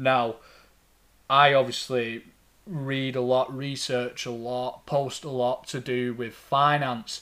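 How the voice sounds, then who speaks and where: In a strong Lancashire accent, a man talks at a very slow pace with a medium pitch. His tone is bright and sharp, his intonation flat and monotone. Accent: Lancastrian, thick. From Lancashire, England. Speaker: financial advisor, podcast host. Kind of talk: podcast monologue about finance. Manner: informal, conversational, slight hesitations.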